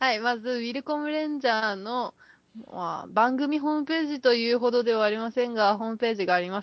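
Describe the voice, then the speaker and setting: A woman mumbles at a fairly quick pace. Her voice is high-pitched, with ordinary pitch variation. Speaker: podcast co-host. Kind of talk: casual chat. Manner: fast; mumbling.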